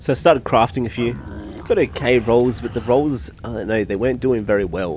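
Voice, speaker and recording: Over noticeable background noise, a man with a fairly low pitch talks at a fairly quick pace with lively intonation. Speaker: gaming YouTuber. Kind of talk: gameplay commentary with casual chat. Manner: quiet; casual.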